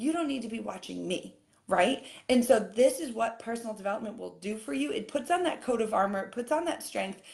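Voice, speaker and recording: Talking at a fairly quick pace, a woman with a fairly high pitch sounds animated, her lively intonation threaded with vocal fry. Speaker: fitness coach. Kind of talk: live-stream coaching talk. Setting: live video stream. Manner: fast.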